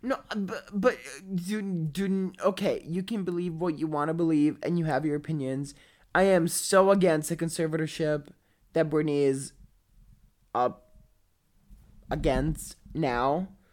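Fairly low pitch from a woman, ordinary pitch variation, a fairly slow pace with long, frequent pauses. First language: not English. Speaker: podcast co-host. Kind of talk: casual chat. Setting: video call.

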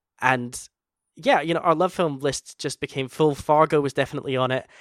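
In a Scottish accent, a man speaks at a fairly quick pace with fairly even intonation, in a dry, close sound with no echo on a very clean recording with a silent background. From Scotland. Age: 30s. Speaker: podcast host. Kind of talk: casual chat.

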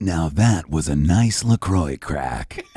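A man performs a put-on character voice with a very deep, low pitch. His intonation is lively. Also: fairly slow pace. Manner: smooth, clipped, biting off the words.

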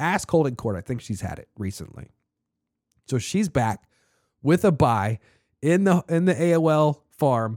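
Animated and fairly high-pitched, a man speaks at a fairly slow pace with very wide pitch swings and long, frequent pauses. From Annapolis, Maryland. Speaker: fantasy football podcast host. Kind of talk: casual chat.

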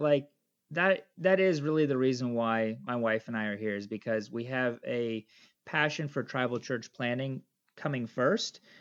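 Here a man speaks at a moderate pace with a medium pitch, a plain, everyday voice. The background is quiet. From United States. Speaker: missionary bush pilot. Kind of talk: interview.

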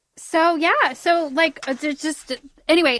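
Raised and projected, a woman's voice has a bright, sharp tone in a dry, close sound with no echo. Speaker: podcast host. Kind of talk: casual storytelling chat.

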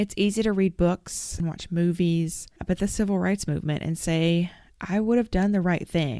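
In a Southern US accent, a woman with a dark, mellow tone and fairly low pitch speaks at a moderate pace, captured in a very clean recording with a silent background. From Arkansas. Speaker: podcast host. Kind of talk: interview conversation.

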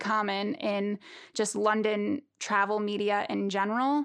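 A woman with a New York accent speaks at a fairly high pitch. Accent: New York American. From US, Long Island, New York. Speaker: travel media founder. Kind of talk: interview.

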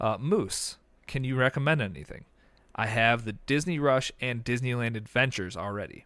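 At a moderate pace, a man talks in a plain, everyday voice at a medium pitch. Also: ordinary pitch variation. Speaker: podcast host. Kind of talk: casual chat.

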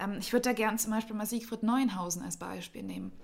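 A woman speaks in a somewhat breathy voice. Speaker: civic association director. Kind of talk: casual interview. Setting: studio.

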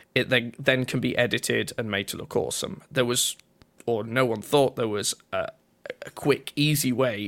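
Speaking with a Yorkshire accent, a man talks at a moderate pace and medium pitch with ordinary pitch variation. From northern England, North Yorkshire. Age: 20s. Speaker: twitch streamer and drummer. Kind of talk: casual interview chat. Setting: remote call.

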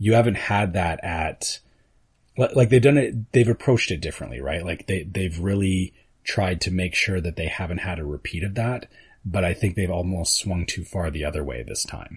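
Against a quiet background, a man speaks with a Canadian accent at a moderate pace. His voice is very deep and low, somewhat breathy, with lively intonation. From Canada. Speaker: podcast co-host. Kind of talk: casual chat. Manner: announcer-style inflections.

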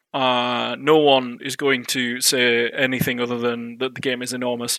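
The speaker is a man with an unremarkable speaking voice. He talks at medium pitch and a moderate pace. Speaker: guest, tech company rep and gamer. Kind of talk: casual banter.

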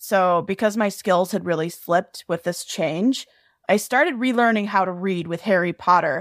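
A plain, everyday voice speaks at a moderate pace with ordinary pitch variation. The sound is dry and close with no echo, on a very clean recording over a silent background. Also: woman, medium pitch for a woman. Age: 20s. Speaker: fanfiction writer. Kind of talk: casual chat.

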